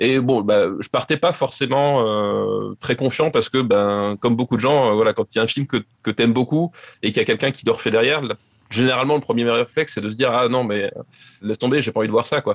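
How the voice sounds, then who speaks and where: A man with a medium pitch rushes along at a very fast pace, his intonation fairly even. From French provinces. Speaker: film author and podcaster. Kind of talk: casual chat. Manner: halting.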